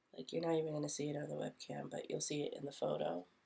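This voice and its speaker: This is a woman speaking. Her pace is moderate. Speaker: beauty vlogger. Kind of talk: makeup tutorial. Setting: home recording at night. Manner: casual.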